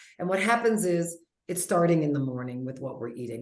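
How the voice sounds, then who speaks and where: Audible room echo carries a woman's fairly low voice in an animated tone. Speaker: health coach. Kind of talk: webinar presentation. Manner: fast.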